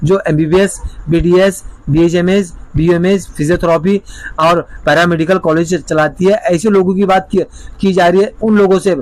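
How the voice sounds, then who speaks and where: The man's voice sits high in pitch. His loudness stays very even throughout. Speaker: lawyer and legal consultant. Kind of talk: informational video explainer.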